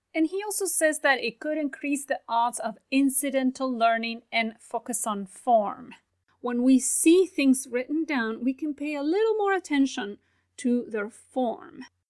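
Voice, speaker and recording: A woman's high voice with a non-native accent, fairly slow and lively in intonation. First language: not English. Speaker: language teaching podcaster. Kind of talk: solo educational commentary.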